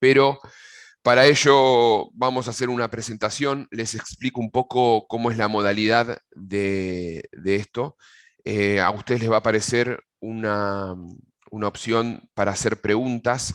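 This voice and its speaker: A man speaks with an Argentine accent. His pace is fairly slow. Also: medium pitch for a man, fairly even intonation. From Argentina. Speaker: agronomist giving a technical pest-control webinar. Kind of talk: webinar presentation. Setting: video call webinar. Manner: hesitant, frequent fillers and repetitions.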